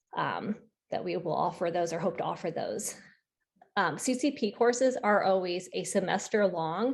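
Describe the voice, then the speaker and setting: A woman talks at a moderate pace with ordinary pitch variation and a plain, everyday voice. The background is quiet. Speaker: school counselor. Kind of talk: Q&A at virtual parent meeting. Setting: video call.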